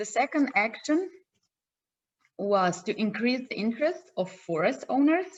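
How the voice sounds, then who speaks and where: Lively intonation from a woman with a Slovenian accent. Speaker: project partner presenter. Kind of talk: conference presentation. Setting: video call. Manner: halting.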